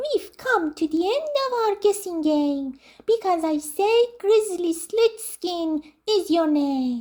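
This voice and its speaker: This is a squeaky, put-on character voice. It moves at a fairly slow pace. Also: woman, extremely high pitch for a woman. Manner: loud and clear, triumphant.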